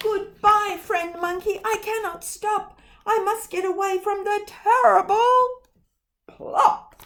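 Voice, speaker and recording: A squeaky, put-on character voice at a fairly slow pace. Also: woman, extremely high pitch for a woman. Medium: read story.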